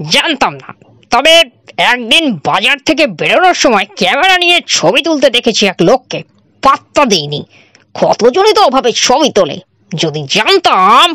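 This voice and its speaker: A woman's high-pitched, put-on character voice with very wide pitch swings. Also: moderate pace, dry, close sound with no echo. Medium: read story. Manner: jovial, charming.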